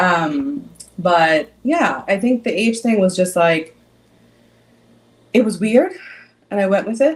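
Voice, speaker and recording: The speech moves at a very slow pace with long, frequent pauses. The voice is somewhat breathy, with lively intonation. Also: woman, medium pitch for a woman. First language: Bangla. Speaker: reality TV contestant. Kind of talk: casual chat.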